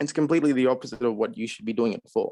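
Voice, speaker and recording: The recording has a dry, close sound with no echo. A man speaks at medium pitch. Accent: Australian. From Australia. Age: 20s. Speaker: caller sharing personal experience. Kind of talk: personal testimony on a group call.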